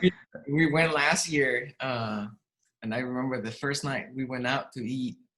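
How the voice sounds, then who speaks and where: Speaking in a Spanish accent at a moderate pace, a man has a medium-pitched voice with a bright, sharp tone. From Mexico City, Mexico. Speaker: real estate agent. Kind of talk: casual interview.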